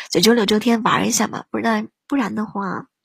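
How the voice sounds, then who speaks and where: A woman talks at a moderate pace in a fairly high pitch, with vocal fry and ordinary pitch variation. The audio is dry and close with no echo. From northern China. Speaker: livestream radio host. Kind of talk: casual livestream chat. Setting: live online broadcast. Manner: animated.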